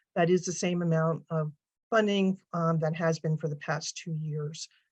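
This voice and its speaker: Over a quiet background, a woman speaks in a fairly low, somewhat breathy voice with monotone, flat intonation, the sound dry and close with no echo. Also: moderate pace. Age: 60s. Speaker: arts advocacy director. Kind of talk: webinar presentation.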